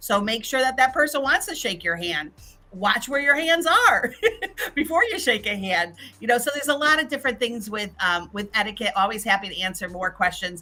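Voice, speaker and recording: A woman talks at a fairly quick pace in a fairly high voice with very wide pitch swings. Her tone is animated. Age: 60s. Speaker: LinkedIn expert and business mentor. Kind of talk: virtual summit talk.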